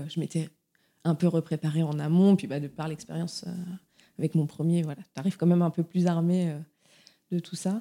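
A woman's fairly low, dark and mellow voice at a moderate pace, with fairly even intonation. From France, Touraine. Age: 30s. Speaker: mother sharing her story. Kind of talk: testimony. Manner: hesitant, with fillers and repetitions.

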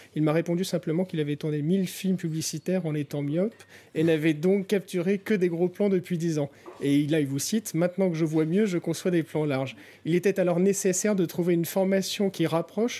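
A man's high-pitched voice, fairly quick in pace, with a dark, mellow tone. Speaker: podcast co-host. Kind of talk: interview. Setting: bistro.

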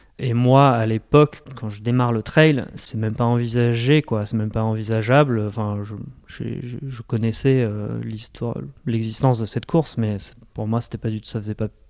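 A man's medium-pitched voice moves at a moderate speed, its intonation fairly even. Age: 40s. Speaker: web entrepreneur and ultra-trail runner. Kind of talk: personal testimony in an interview. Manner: hesitant, many repetitions and fillers.

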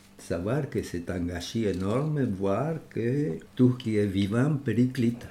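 A man with a Spanish accent speaks at a very slow pace in a medium pitch, somewhat breathy. His pitch swings very widely. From Uruguay. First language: Spanish (speaking French). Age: 80s+. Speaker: architect. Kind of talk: interview. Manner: halting, repeats words.

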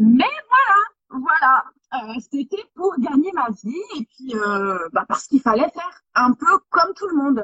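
A woman's high voice swings very widely in pitch as she talks at a very slow pace. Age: 30s. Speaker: photographer. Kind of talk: interview. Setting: live stream. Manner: animated.

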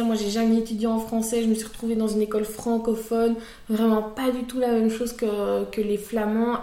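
A woman speaks at a moderate pace in a fairly high voice, with noticeable background noise and audible room echo. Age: 20s. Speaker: content creator. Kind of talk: testimony.

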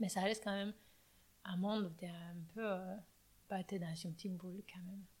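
Very fast, somewhat breathy woman at medium pitch with fairly even intonation. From Romania, Bucharest. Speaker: coffee roaster. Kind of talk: interview. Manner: halting.

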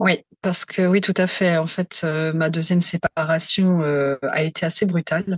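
A woman speaks at a fairly slow pace against a quiet background. The sound is dry and close, with no echo. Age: 40s. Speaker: psycho-emotional therapist. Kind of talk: testimony.

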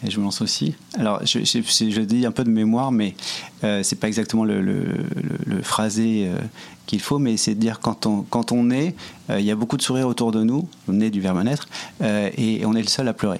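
A man at medium pitch, fairly quick, with ordinary pitch variation and very even loudness. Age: 40s. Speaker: entrepreneur, nonprofit social network co-founder. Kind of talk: interview. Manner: halting, many repetitions.

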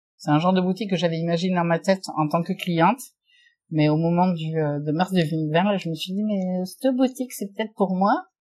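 Using a normal speaking voice, a woman talks at a fairly quick pace and medium pitch with ordinary pitch variation. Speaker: shop owner. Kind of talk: interview.

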